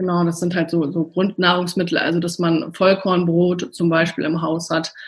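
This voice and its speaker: Speaking at a moderate pace, a woman sounds somewhat breathy, with a fairly low pitch and monotone, flat intonation. The recording is very clean, with a silent background. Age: 40s. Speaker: nutritionist. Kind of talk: interview. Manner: hesitant, many fillers.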